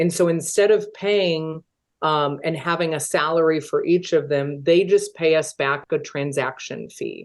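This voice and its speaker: Here is an ordinary speaking voice at a fairly slow pace. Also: woman, fairly low pitch for a woman, fairly even intonation. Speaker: real estate team owner. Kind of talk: webinar presentation.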